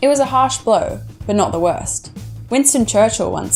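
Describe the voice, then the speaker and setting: Music plays in the background behind a woman with an Australian accent. She speaks at a fairly quick pace. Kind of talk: educational video essay narration.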